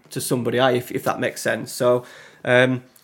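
In a Yorkshire accent, a man of medium pitch speaks at a moderate pace on a very clean recording with a silent background. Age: 30s. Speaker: content creator. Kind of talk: casual chat.

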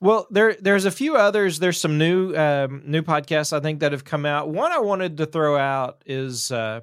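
At a moderate pace and with ordinary pitch variation, the speech comes through on a very clean recording with a silent background. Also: man. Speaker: evangelist. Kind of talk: casual Bible study discussion. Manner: hesitant, filler-heavy.

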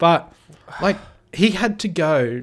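The speech is very slow, in an Australian accent, with very wide pitch swings. The recording is very clean and the background silent. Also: man. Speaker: podcast co-host. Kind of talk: casual chat.

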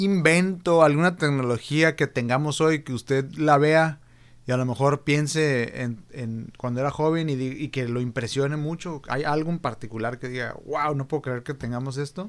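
An ordinary speaking voice moves at a moderate pace with ordinary pitch variation and hardly any pauses, captured in a very clean recording with a silent background. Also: man, fairly high pitch for a man. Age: 30s. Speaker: podcast host. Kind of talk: casual interview.

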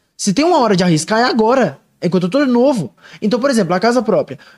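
Racing at a very fast pace, a man speaks at an extremely high pitch with very wide pitch swings. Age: 20s. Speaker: investment advisor. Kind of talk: casual chat.

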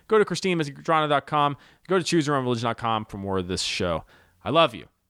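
A man with an American accent talks at a very fast pace, his pitch swinging very widely, in a dry, close sound with no echo. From US South. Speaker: podcast host and comedian. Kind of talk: podcast intro; casual chat.

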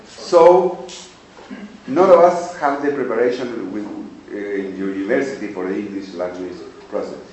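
A man with a Spanish accent speaks at medium pitch, with very wide pitch swings and big swings in loudness. The recording has audible room echo and noticeable background noise. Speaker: English teacher and podcaster. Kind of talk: presentation to a workshop panel.

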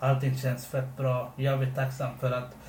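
A man's somewhat breathy, medium-pitched voice in monotone, flat intonation, with audible room echo. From Sri Lanka, came to Sweden as a child. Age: 20s. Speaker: podcast co-host. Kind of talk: casual chat.

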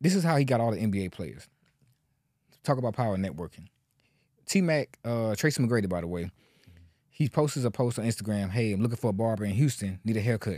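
This man speaks very fast at a medium pitch, with lively intonation and a dark, mellow tone. Long pauses come up often between his words. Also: very clean recording, silent background. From Louisiana, Lafayette and Baton Rouge, later Atlanta. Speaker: barber. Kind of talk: casual chat.

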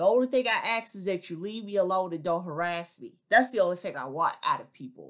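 With lively intonation and a bright, sharp tone, a woman with an American accent speaks fairly quickly against a quiet background. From US inner city. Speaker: video commentator. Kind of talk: opinion monologue, casual.

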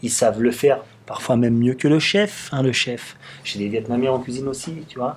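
Here is a man with a normal speaking voice at a moderate pace. He has a medium pitch and ordinary pitch variation. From Paris suburbs, Belleville. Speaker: restaurant owner. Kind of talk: casual interview conversation. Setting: studio, filmed podcast.

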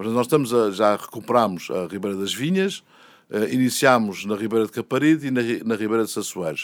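A man with a plain, everyday voice speaks at medium pitch and a fairly quick pace on a very clean recording with a silent background. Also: lively intonation. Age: 60s. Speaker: mayor, politician. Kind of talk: interview.

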